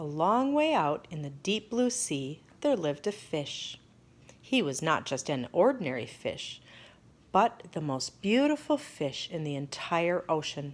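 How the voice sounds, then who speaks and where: At a fairly slow pace, a woman with a fairly low voice swings very widely in pitch on a very clean recording with a silent background. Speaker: storyteller. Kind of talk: children's picture book read-aloud.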